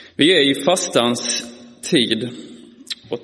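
Over noticeable background noise and audible room echo, a man with a Scanian accent speaks at a very slow pace. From Skåne, Malmö. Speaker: preacher. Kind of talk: sermon. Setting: church.

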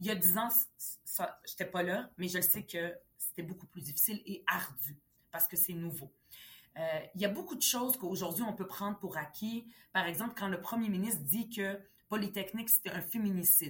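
Somewhat breathy and medium in pitch, a woman talks at a moderate pace with ordinary pitch variation and long, frequent pauses. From Quebec, Montreal (arrived age 10 from Lebanon). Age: 40s. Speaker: politician. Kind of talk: interview.

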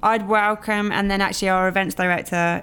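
A moderate pace with monotone, flat intonation. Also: woman. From Middle East. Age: 40s. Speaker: entrepreneur. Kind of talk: casual chat.

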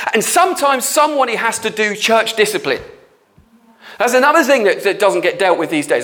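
Over noticeable background noise, a man talks at a very fast pace, his high pitch making very wide swings. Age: 50s. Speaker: church leader / pastor. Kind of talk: sermon / teaching talk. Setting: prayer studio. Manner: halting, with many fillers.

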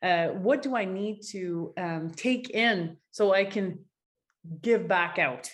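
Very slowly, a woman talks at a medium pitch. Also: ordinary pitch variation. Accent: French-Canadian. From Quebec, Gatineau (Ottawa area). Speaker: artist. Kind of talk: interview.

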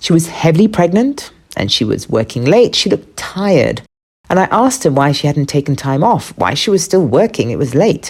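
Speaking at a fairly quick pace, a woman uses a very deep, low pitch with vocal fry. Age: 50s. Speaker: podcast host. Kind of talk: scripted narration.

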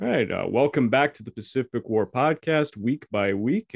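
An ordinary speaking voice from a man at medium pitch, with lively intonation at a moderate pace. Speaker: podcast host. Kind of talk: interview, casual chat.

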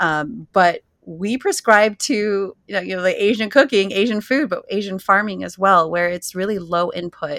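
A woman with a Californian accent speaks at medium pitch and a moderate pace with ordinary pitch variation and hardly any pauses. The recording is very clean, with a silent background and a dry, close sound with no echo. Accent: Californian American English. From US West Coast, San Jose, California. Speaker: cookbook author and farmer. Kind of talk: interview.

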